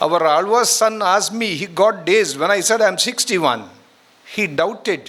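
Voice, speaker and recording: His pitch high for a man, he talks at a moderate pace with ordinary pitch variation. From India, Karnataka (Udupi). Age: 60s. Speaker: retired educator, guest speaker. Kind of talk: speech to students at college event.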